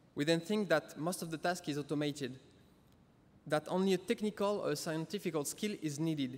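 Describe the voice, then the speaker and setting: Here a man speaks at a fairly quick pace. His pitch is fairly high, with ordinary variation. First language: French. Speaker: interactive experience designer. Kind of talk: conference talk.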